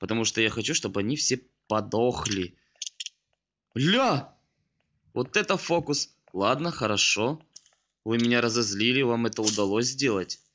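Against a quiet background, a man with a bright, sharp tone speaks at a medium pitch with ordinary pitch variation and long, frequent pauses. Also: very even loudness. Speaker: gaming youtuber. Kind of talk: gameplay commentary. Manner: animated.

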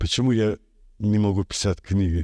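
With an Azerbaijani accent, a man talks at a moderate pace in a fairly low pitch and a dark, mellow tone against a quiet background. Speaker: artist; interviewee. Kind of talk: interview. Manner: halting. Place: studio. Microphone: studio mic.

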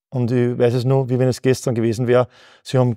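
Very fast in pace, a man speaks at a medium pitch in a dark, mellow tone, the sound dry with no echo against a quiet background. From Upper Austria (Mühlviertel); Upper Austria. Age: 40s. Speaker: company founder; guest. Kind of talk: interview; interview answer. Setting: company office. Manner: halting, frequent repetitions. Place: studio.

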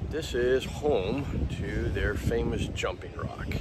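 A man is talking amid loud background noise. His voice sounds dry, with no echo. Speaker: travel vlogger. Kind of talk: casual vlog chat. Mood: relaxed and cheerful. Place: beach. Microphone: phone near.

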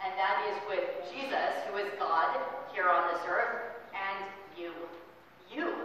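Strong room echo and light background noise surround a woman speaking at a fairly slow pace. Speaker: pastor. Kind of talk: sermon. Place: church. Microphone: camera far.

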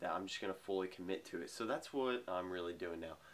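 At a fairly quick pace, a man talks in a very deep, low pitch. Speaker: vlogger. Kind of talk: casual vlog chat. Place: home room. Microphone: phone near.

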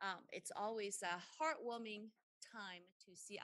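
Against a quiet background, a woman speaks at a fairly slow pace in a bright, sharp tone, the sound dry with no echo. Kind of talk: opening remarks at a formal meeting. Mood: warm, upbeat. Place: meeting room. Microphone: podium.

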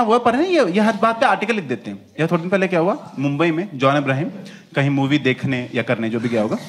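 Lively intonation at a fast pace, with a slightly husky edge. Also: man, fairly high pitch for a man.

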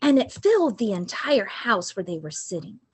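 A woman speaks with lively intonation in a somewhat breathy voice. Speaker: liturgist. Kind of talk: reading aloud. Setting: church. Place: home room. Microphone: webcam.

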